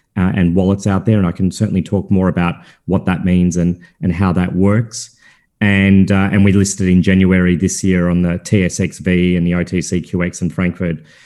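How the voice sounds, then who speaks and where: Very deep and low, a man's voice has a dark, mellow tone and monotone, flat intonation at a fairly quick pace, in a very clean recording with a silent background. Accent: Australian. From Australia. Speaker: crypto company founder and chairman. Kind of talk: interview. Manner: halting, many fillers and repeated words.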